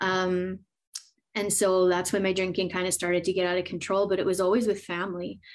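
In a Canadian accent, a woman speaks at a fairly quick pace with monotone, flat intonation over a quiet background. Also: medium pitch for a woman. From Edmonton, Alberta, Canada. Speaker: recovering addict sharing her story. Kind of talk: testimony.

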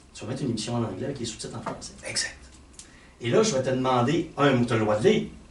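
Noticeable background noise and audible room echo surround a man of medium pitch who talks at a very fast pace. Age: 50s. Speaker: fitness and health coach. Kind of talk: casual chat.

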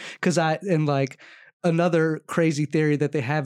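On a very clean recording with a silent background, a man with a slight Maryland accent talks at a moderate pace. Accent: light Maryland accent, heard as country. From Maryland, US. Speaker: podcast co-host. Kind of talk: casual chat.

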